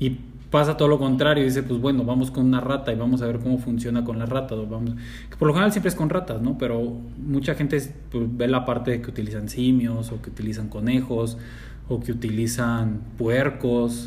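Audible room echo surrounds a man speaking with a Mexican accent. His pace is fairly quick. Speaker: podcast co-host. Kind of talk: casual chat.

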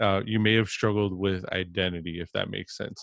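A man is speaking. His pace is fairly quick. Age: 30s. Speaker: podcast host. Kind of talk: interview. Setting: remote call. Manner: halting.

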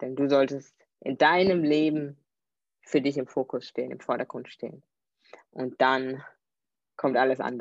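With a very deep, low pitch and fairly even intonation, a woman speaks at a moderate pace with long, frequent pauses, the sound dry and close with no echo. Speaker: podcast host. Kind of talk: solo podcast monologue. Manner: hesitant, many filler sounds.

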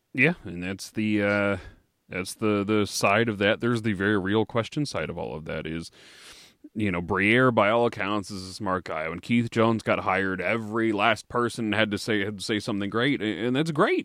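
A man talks at a moderate pace with a fairly low pitch and ordinary pitch variation. His is an unremarkable speaking voice, heard against a quiet background. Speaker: podcast co-host. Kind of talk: casual banter.

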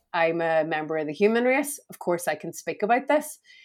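A woman speaks with a Belfast accent at a medium pitch. Her intonation is lively and her pace moderate. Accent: Belfast Northern Irish. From Northern Ireland, Belfast. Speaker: entrepreneur and coach. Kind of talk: casual interview.

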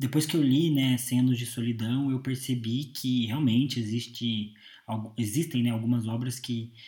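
At a moderate pace, a man speaks at medium pitch in a dark, mellow, somewhat breathy voice with monotone, flat intonation. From Brazil, Curitiba. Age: 20s. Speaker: podcast host. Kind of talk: solo monologue. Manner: hesitant, many filler 'é'.

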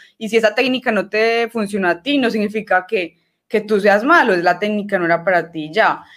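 A woman at a medium pitch and a fairly quick pace, a normal speaking voice, in a very clean recording with a silent background. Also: ordinary pitch variation. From Colombia, Medellín (Antioquia). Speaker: archer. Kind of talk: casual interview.

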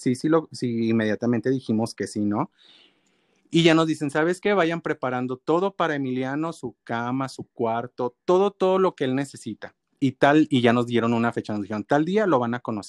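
Someone with a Mexican accent speaks with ordinary pitch variation. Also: man, dry, close sound with no echo. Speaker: adoptive parent. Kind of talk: interview.

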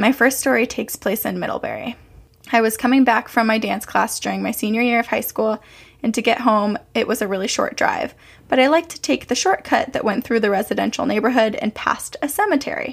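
Vocal fry runs through a woman's fairly quick speech. Her pitch is fairly high, with ordinary variation. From Vermont, Burlington. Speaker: podcast co-host. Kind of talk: casual chat.

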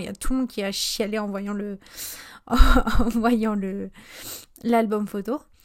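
Fairly high-pitched, a woman talks with fairly even intonation. Her speech has long, frequent pauses and big swings in loudness. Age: 20s. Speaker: podcast host and small business owner. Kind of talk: casual solo podcast monologue.

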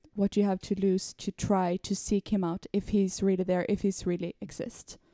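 Speaking in a Swedish accent, a woman has a medium pitch and a dark, mellow tone, with monotone, flat intonation. The recording is very clean, its background silent. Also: dry, close sound with no echo. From Sweden. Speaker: podcast guest. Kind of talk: casual faith discussion.

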